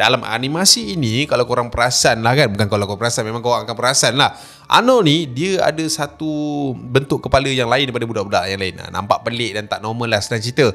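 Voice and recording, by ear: A man's medium-pitched, fairly bright voice with vocal fry, ordinary pitch variation, a fast pace and few pauses.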